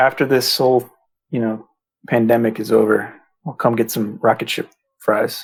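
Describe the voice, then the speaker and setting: This man talks at a moderate pace in a medium pitch with an American accent, his intonation monotone and flat, broken by long, frequent pauses. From US East Coast (Massachusetts, Virginia, DC, Maryland). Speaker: web developer, site creator. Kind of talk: casual podcast interview.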